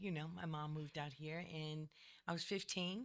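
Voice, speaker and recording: Speaking with an American accent, a woman uses a very deep, low pitch and fairly even intonation. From Boston, Massachusetts. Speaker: author. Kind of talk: interview. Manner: halting, many fillers.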